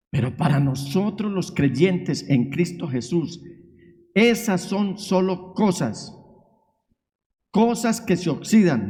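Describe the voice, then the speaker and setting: Audible room echo surrounds a man who speaks very slowly at a high pitch with lively intonation. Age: 60s. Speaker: pastor. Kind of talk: sermon. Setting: church. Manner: emphatic preaching.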